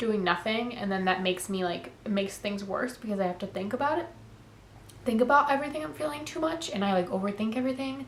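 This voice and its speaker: A woman talks at a very fast pace. Audible room echo surrounds her voice. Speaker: lifestyle vlogger. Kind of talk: casual sit-down talk to camera. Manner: casual, filler-heavy.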